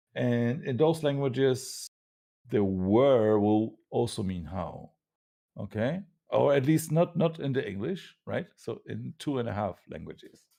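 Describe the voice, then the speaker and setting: The delivery is fairly slow, with a dark, mellow tone and a non-native accent. Pitch swings very widely over a very clean recording with a silent background. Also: man, medium pitch for a man. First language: not English. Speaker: panelist in atheist discussion. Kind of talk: casual debate discussion. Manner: halting, many fillers.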